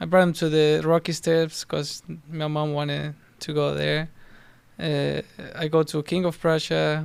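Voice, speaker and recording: A man with a Spanish accent speaks in a fairly high voice. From Argentina. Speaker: professional soccer player. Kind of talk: casual interview chat. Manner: halting.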